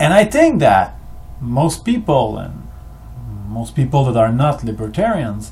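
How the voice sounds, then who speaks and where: A man at a moderate pace, with audible room echo. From Quebec, Canada. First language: French. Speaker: history video maker. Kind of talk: monologue. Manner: halting.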